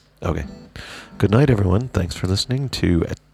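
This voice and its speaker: Over background music, a man speaks with lively intonation. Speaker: podcast host. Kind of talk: casual interview.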